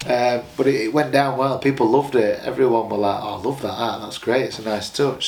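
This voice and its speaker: A man's medium-pitched voice with fairly even intonation at a fairly quick pace, amid noticeable background noise. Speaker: professional boxer. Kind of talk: casual interview.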